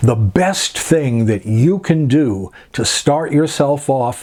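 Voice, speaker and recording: A man with an unremarkable speaking voice talks in a fairly high pitch with lively intonation. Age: 60s. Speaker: personal trainer. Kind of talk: casual talk to camera.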